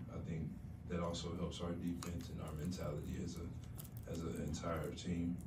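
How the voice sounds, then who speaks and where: A man with a very deep, low voice speaks at a moderate pace over noticeable background noise. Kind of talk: interview answer. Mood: calm, measured, low-key. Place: hall.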